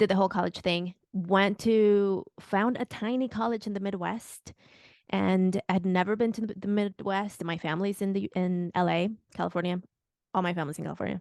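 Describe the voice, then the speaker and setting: At a moderate pace, a woman with a medium pitch keeps a fairly even intonation, the sound dry and close with no echo. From Mexico City. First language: Spanish. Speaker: business coach and podcaster. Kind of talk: interview conversation.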